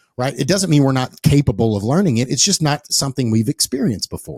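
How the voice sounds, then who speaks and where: A man with an East Texas accent, a medium pitch and a dark, mellow, somewhat breathy tone, fairly quick in pace with very wide pitch swings, in a very clean recording with a silent background and a dry, close sound with no echo. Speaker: podcast host. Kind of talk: casual interview conversation. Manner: repetitive, restarting phrases.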